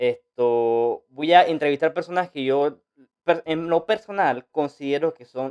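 A man talks at a fairly slow pace with ordinary pitch variation. The sound is dry and close with no echo. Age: 20s. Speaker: podcast host and social media influencer. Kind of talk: unscripted podcast intro monologue. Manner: animated; halting, many fillers and restarts.

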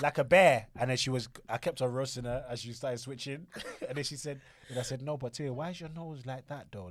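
Recorded very cleanly with a silent background, a man speaks at a medium pitch and a fairly quick pace. His voice shows ordinary pitch variation and big swings in loudness. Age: 30s. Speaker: podcast co-host. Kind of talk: casual chat.

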